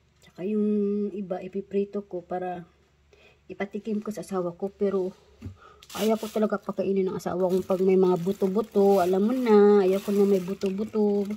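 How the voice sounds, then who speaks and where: A woman talks in a monotone, flat intonation. Her pace is moderate. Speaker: vlogger. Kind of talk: casual vlog chat. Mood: cheerful, laughing. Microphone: phone near.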